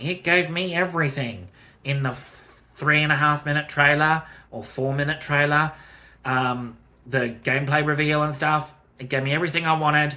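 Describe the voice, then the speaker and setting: A man's fairly high voice with an Australian accent, bright and sharp in tone, fairly even in intonation, at a fairly quick pace. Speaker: gaming youtuber. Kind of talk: casual video commentary. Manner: hesitant, many fillers.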